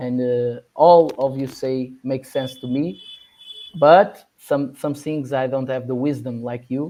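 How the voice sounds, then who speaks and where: Using fairly even intonation, a man with a non-native accent talks at a medium pitch and a fairly slow pace. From Portugal. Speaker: podcast host. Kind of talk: interview. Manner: halting.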